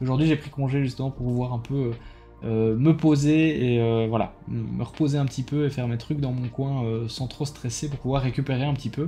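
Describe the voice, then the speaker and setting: A man with a Belgian accent at a medium pitch, moderate pace and fairly even intonation, music playing behind him. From Belgium. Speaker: YouTuber, card game player. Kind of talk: casual vlog debrief. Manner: hesitant, many fillers.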